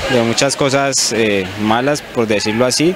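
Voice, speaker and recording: At a fairly slow pace, a man speaks at a medium pitch with ordinary variation, the sound dry with no echo amid noticeable background noise. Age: young. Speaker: speed skater. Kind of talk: interview. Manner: halting. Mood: friendly, slightly shy. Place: stadium. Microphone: handheld.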